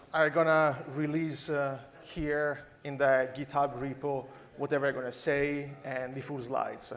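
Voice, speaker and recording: Heard with audible room echo, a man speaks at a fairly high pitch in a strong Italian accent. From Italy. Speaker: AI researcher and conference speaker. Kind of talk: conference talk.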